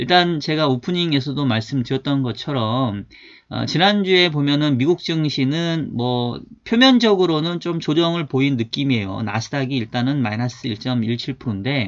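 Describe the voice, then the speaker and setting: A man speaks at a moderate pace in a fairly high pitch, his intonation lively. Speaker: finance YouTuber and market analyst. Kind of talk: casual market commentary. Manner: informal, occasional dialect slips.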